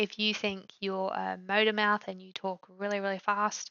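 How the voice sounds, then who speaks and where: A woman has an unremarkable speaking voice at a medium pitch. Her pace is fairly slow. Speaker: tech tutorial youtuber. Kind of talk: tutorial. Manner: casual, filler-heavy.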